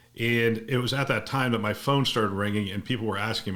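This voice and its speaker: At a medium pitch, a man speaks at a fairly quick pace. Audible room echo surrounds his voice. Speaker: podcast host, former hospital CIO. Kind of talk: podcast monologue. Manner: fast.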